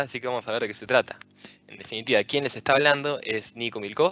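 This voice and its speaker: A man talks with an Argentine accent. His pitch variation is ordinary. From Argentina, Rosario. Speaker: software engineer and tech speaker. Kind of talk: conference talk.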